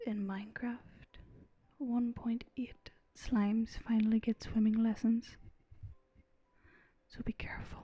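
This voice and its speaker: Soft-spoken, relaxed delivery at a fairly slow pace with long, frequent pauses. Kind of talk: soft-spoken gaming commentary for relaxation.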